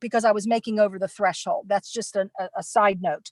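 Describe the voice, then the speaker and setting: A woman with an ordinary speaking voice talks at a fairly quick pace in a fairly high pitch, with a dry, close sound and no echo. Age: 60s. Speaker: nomad work camper. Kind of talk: panel presentation. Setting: online virtual conference.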